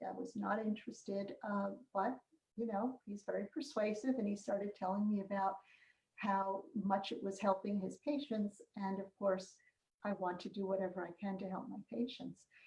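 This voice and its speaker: This woman talks at a moderate pace in a medium pitch, her tone dark, mellow and somewhat breathy. Her intonation stays fairly even. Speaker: psychiatrist. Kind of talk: interview. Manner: halting.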